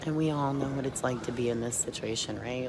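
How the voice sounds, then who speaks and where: A soft-spoken woman whispering at a fairly quick pace, with audible room echo and noticeable background noise. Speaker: pool commentator. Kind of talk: live commentary. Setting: venue next to the pool table.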